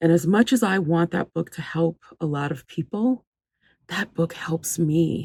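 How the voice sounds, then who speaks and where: A woman with a dark, mellow tone and vocal fry speaks at a fairly slow pace with lively intonation. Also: very clean recording, silent background. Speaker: voice actor. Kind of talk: personal testimonial talk.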